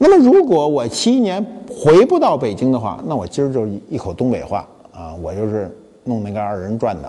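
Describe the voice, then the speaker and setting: A man talks at a moderate speed in an animated tone while noticeable noise fills the background. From Beijing. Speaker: talk show host, museum founder. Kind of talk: casual monologue talk show. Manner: colloquial, animated.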